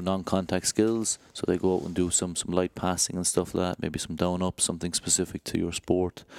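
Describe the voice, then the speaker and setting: A man with an Irish accent, very deep and low in pitch, fairly quick in pace and monotone and flat in intonation, in a dry, close sound with no echo. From Ireland. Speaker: rugby club head of medical services. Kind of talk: interview.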